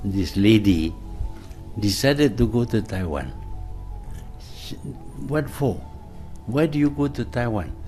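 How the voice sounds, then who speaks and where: Music plays behind a man speaking fairly slowly at medium pitch, his pitch swinging very widely between long, frequent pauses. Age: 80s+. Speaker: former prime minister. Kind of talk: interview answer. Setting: office.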